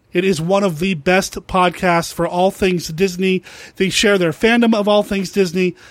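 A man speaks at a high pitch in an excited tone. The recording is very clean, with a silent background. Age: 40s. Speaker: podcast host. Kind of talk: podcast intro and outro.

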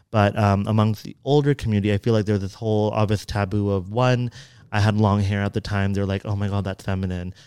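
Fairly low, flat, monotone male voice with an American accent at a very fast pace on a very clean recording with a silent background. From US, San Francisco Bay Area. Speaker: dancer and dance company founder. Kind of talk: casual interview chat.

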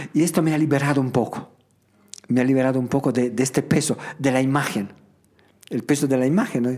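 A man at medium pitch, very fast, with very even loudness, fairly even intonation and long, frequent pauses. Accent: Italian. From Italy, Emilia mountains near Bologna. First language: Italian (speaking Spanish). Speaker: founder of a children's charity home. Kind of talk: interview conversation. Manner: halting, with frequent repetitions.

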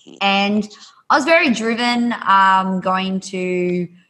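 With an Australian accent, a woman speaks at a medium pitch in a bright, sharp tone with ordinary pitch variation. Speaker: yoga instructor and author. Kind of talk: casual podcast interview. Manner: animated, enthusiastic.

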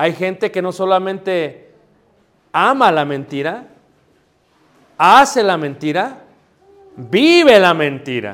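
A man speaks at a very slow pace in a high pitch. His pitch swings very widely. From Mexico City. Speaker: preacher. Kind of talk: sermon. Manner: halting.

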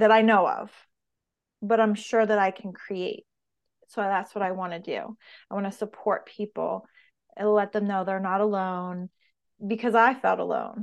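A woman with a medium pitch and monotone, flat intonation at a moderate pace, with long, frequent pauses and a quiet background. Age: 40s. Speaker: personal trainer and business owner. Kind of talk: interview.

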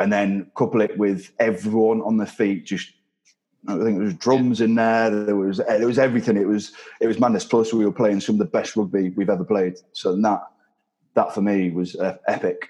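In a slight northern English accent, a man with fairly low pitch and a dark, mellow tone speaks at a moderate pace with fairly even intonation. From northern England. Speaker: retiring rugby player. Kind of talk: casual interview chat.

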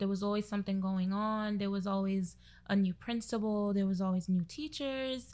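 A Brooklyn accent at a moderate pace, with ordinary pitch variation, in a very clean recording against a silent background. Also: woman. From Brooklyn, New York, Trinidadian family. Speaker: virtual assistant and contact tracer. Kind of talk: casual chat.

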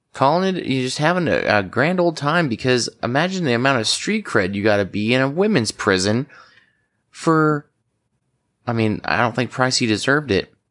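Over a quiet background, a man with an American accent speaks at medium pitch and a moderate pace, his pitch swinging very widely. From Washington state, US. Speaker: former police officer, podcast co-host. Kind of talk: casual chat.

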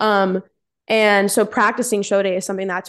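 A woman with an ordinary speaking voice at medium pitch, fairly quick and fairly even in intonation, against a quiet background. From Central New Jersey. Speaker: amateur bikini competitor and coach. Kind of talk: casual chat.

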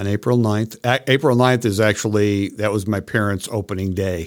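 On a very clean recording with a silent background, a man with an American accent speaks at a fairly quick pace, his fairly low pitch held in fairly even intonation. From Parma, Ohio (Cleveland suburbs). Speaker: small business owner. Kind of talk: casual interview.

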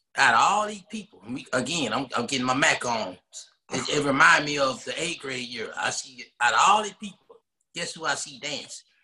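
A man with an American accent speaks at a moderate pace in a fairly high voice, his pitch swinging very widely and his loudness rising and falling in big swings. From Texas, Dallas (Oak Cliff). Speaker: podcast co-host, married guest. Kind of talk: casual chat.

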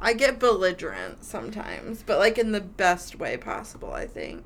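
Using a put-on character voice, a woman sounds raspy at a moderate pace, with big swings in loudness.

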